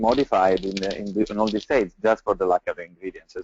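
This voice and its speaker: A man speaks with an Italian accent. His pitch is fairly low. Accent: Italian accent, non-native English. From Italy. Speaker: pizza chef and restaurant owner. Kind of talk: webinar panel talk. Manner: halting, many fillers.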